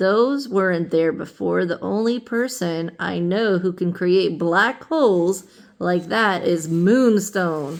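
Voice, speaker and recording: At a fairly slow pace, a woman performs a put-on character voice pitched in the medium range. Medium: read story. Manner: determined.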